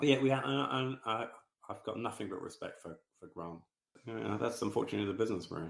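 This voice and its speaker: Using an English accent, a man talks at a very fast pace with a medium pitch, lively intonation, vocal fry and big swings in loudness. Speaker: football club co-owner. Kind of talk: podcast interview. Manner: halting.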